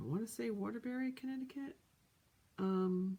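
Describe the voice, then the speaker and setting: A soft-spoken woman has a dark, mellow tone and a somewhat breathy voice. Her intonation is lively. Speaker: crafter. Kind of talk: casual chat.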